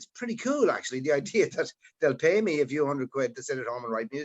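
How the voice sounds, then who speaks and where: A man with an Irish accent speaks at a very fast pace. His pitch swings very widely. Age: 60s. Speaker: musician. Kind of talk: casual chat.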